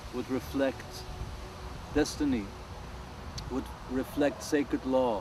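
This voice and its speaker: Against noticeable background noise, a man with a German accent and a medium pitch talks at a very slow pace. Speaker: world music artist. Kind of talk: interview.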